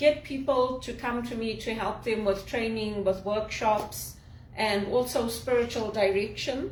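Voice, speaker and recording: Against noticeable background noise, a woman with a fairly high pitch speaks at a fairly slow pace with fairly even intonation. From Zimbabwe. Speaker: executive assistant, speaker and spiritual director. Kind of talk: casual talk to camera.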